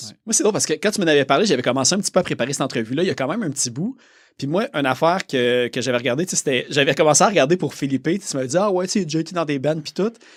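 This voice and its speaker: Very fast and with lively intonation, a man with a Quebec accent talks in a fairly high voice on a very clean recording with a silent background. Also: dry, close sound with no echo. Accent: Québécois. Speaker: podcast host. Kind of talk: casual interview.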